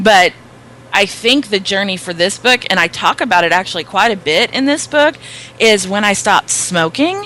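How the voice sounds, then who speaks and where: A woman with an American accent speaks at medium pitch and a moderate pace. Her intonation is lively. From US South. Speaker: author and speaker. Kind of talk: interview. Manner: loud.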